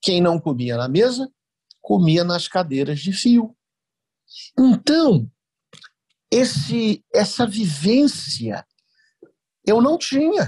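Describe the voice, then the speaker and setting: Speaking at a very slow pace with long, frequent pauses, a man uses a high pitch and very wide pitch swings in a dry, close sound with no echo. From Cuiabá, Mato Grosso, Brazil; raised there from early childhood. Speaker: writer and lawyer. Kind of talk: academic interview.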